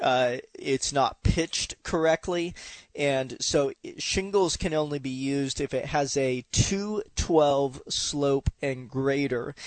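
A man's fairly high voice at a very slow pace, with ordinary pitch variation. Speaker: radio call-in show host, roofing contractor. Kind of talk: casual, friendly, explanatory.

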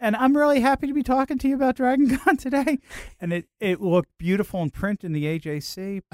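The man's pitch is extremely high and swings very widely as he talks at a fairly quick pace, in a dry, close sound with no echo. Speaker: convention media relations director. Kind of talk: radio interview. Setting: radio studio.

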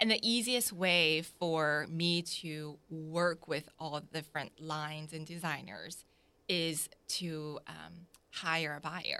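Speaking at a very slow pace, a woman with an American accent has a bright, sharp tone, a very deep, low pitch and ordinary pitch variation. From Jacksonville, Florida (born South Korea). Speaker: boutique owner. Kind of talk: interview.

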